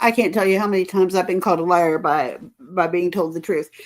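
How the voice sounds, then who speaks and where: A woman's voice at medium pitch and a moderate pace. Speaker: livestream commentary host. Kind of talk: casual livestream talk.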